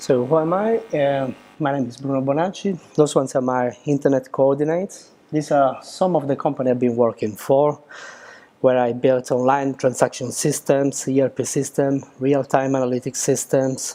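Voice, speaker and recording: The man's voice has a dark, mellow tone. His pitch varies an ordinary amount. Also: moderate pace. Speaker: software engineer, meetup speaker. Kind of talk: technical talk. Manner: hesitant with many fillers.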